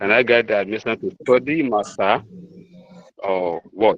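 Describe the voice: At a moderate pace, a man speaks with a fairly low pitch and a fairly bright tone. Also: ordinary pitch variation.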